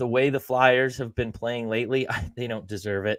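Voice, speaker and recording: On a very clean recording with a silent background, a man talks at a medium pitch with ordinary pitch variation. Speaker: sports betting podcast co-host. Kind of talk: casual chat. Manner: loud.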